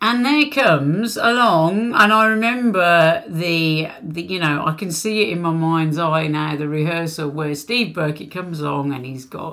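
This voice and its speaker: Over noticeable background noise, the voice moves at a fairly slow pace with hardly any pauses, lively intonation and big swings in loudness. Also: woman, fairly low pitch for a woman. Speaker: singer in a band, podcast guest. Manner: chatty, informal.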